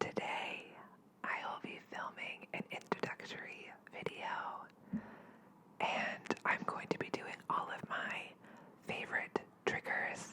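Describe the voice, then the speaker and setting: Whispering at a very slow pace with long, frequent pauses, a woman speaks over noticeable background noise. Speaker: ASMR artist. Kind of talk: ASMR sleep roleplay. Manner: whispered.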